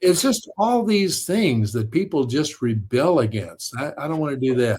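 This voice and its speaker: With very wide pitch swings, a man talks in a somewhat breathy voice. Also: fairly high pitch for a man, moderate pace. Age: 70s. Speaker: author and storyteller. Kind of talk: casual chat. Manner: animated.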